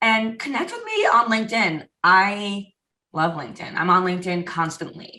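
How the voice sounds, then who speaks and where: An animated woman talks at moderate pace and medium pitch. Her tone is bright and sharp, and her loudness swings widely. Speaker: community manager at a software company. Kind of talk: podcast interview.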